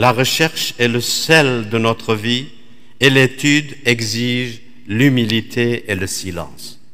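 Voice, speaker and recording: A man in a Middle Eastern accent speaks very slowly at a medium pitch. His intonation is fairly even, and the background is quiet. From Iraq. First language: Aramaic (speaking French). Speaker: Dominican priest, preacher. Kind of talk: sermon. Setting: church. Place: church. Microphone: podium.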